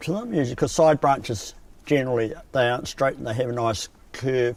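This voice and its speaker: A man with a New Zealand accent, fairly high-pitched, at a fairly quick pace with ordinary pitch variation. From New Zealand, South Canterbury. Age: 60s. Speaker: coffin maker. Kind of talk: documentary interview. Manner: hesitant, with many fillers.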